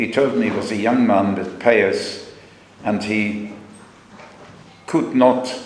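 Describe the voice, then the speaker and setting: A man speaks at a fairly slow pace, with medium pitch and fairly even intonation. Room echo is audible, along with noticeable background noise. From Germany. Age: 90s. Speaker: Holocaust survivor. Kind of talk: testimony. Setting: school assembly. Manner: halting.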